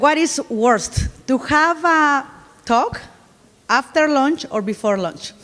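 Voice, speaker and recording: In a Spanish accent, the speaker goes at a very slow pace with long, frequent pauses and very wide pitch swings, over noticeable background noise. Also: woman. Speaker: conference speaker. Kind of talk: conference talk. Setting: stage with audience.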